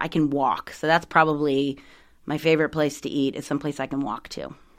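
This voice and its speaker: A woman with a very deep, low pitch speaks fairly quickly with an American accent and monotone, flat intonation, on a very clean recording with a silent background. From South Carolina. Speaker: environmental nonprofit director. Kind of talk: casual interview.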